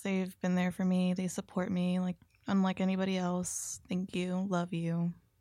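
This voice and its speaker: A woman with an American accent speaks at a moderate pace and medium pitch, with a monotone, flat intonation. Her loudness stays very even, she hardly pauses, and the recording is very clean with a silent background. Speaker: podcast co-host. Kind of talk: casual chat.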